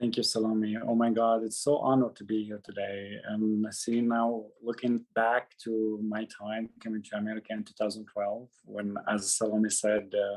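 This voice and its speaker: A man with a Syrian accent, fairly low in pitch, at a moderate pace with hardly any pauses, flat and monotone in intonation yet with big swings in loudness. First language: Arabic. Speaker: former refugee speaker. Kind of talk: personal testimony. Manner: halting.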